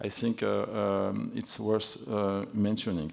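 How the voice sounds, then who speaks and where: The man speaks with a Toulouse accent. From France, Toulouse. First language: French. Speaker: energy regulator panelist. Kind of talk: conference panel talk. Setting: conference. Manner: halting, many fillers.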